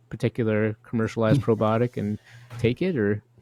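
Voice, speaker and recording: An unremarkable speaking voice, dry and close with no echo, moving at a moderate pace with ordinary pitch variation. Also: man. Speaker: podcast host. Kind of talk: podcast interview question.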